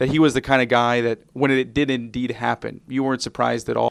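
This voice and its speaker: This man has a normal speaking voice at medium pitch. His intonation is fairly even. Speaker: pregame show interviewer. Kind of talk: radio pregame show host.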